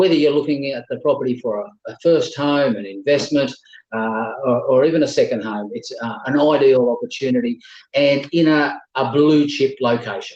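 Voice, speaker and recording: Fairly high-pitched, this man speaks with an Australian accent. His pace is moderate. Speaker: auctioneer. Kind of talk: online property auction address. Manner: fluent, conversational with frequent filler pauses.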